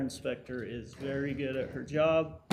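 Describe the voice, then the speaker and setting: Audible room echo surrounds a man's voice. He keeps his intonation fairly even. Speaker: fire department official. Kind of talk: presentation to city council. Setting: council meeting.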